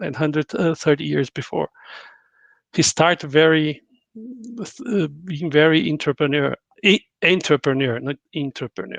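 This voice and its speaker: A non-native accent at a moderate pace, broken by long, frequent pauses. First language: not English. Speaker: corporate panelist. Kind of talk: panel discussion. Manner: halting.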